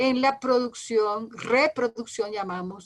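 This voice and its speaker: Against a silent background on a very clean recording, a woman speaks with a high pitch. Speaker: lecturer. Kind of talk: lecture. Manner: fast.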